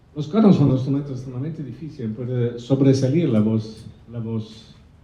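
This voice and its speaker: Somewhat breathy and at a moderate pace, a man with an Italian accent speaks with big swings in loudness, and audible room echo surrounds his voice. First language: Italian (speaking Spanish). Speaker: opera conductor. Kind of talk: press conference. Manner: halting.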